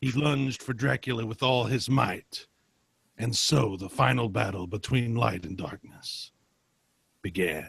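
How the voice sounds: This put-on character voice has a fairly bright tone with a slightly husky edge and vocal fry. The pace is fairly slow and the pitch variation ordinary. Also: man, medium pitch for a man.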